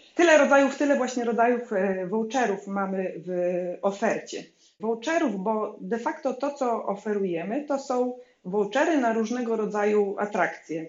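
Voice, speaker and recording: Speaking at a moderate pace, a woman with an unremarkable speaking voice uses lively intonation in a fairly high voice. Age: 40s. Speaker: business founder. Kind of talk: interview.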